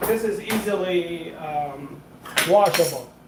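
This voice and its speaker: A man with a non-native accent speaks at a high pitch, with noticeable background noise behind him. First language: not English. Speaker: food vlogger. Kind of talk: live cooking stream. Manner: casual, halting with fillers.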